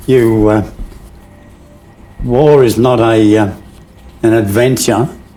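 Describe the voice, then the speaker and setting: With an Australian accent, a man speaks at a medium pitch and a very slow pace, pausing long and often. Room echo is audible. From Sydney, Australia. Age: 90s. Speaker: navy veteran, former clearance diver. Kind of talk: interview. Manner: halting, with frequent fillers.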